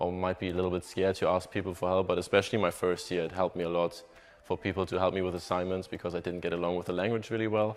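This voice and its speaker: Over music in the background, a man with a German accent speaks very fast at a very deep, low pitch, his intonation monotone and flat. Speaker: college soccer player. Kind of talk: interview. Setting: on camera interview.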